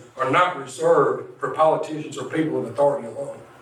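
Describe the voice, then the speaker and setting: A man's fairly high, very fast voice with fairly even intonation amid noticeable background noise. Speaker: incarcerated poet. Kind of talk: slam poetry performance.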